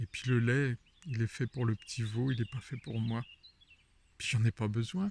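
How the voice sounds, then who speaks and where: The man's voice is somewhat breathy. He talks at a fairly slow pace. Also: dry, close sound with no echo. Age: 60s. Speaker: wellness vlogger. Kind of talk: video monologue. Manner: animated.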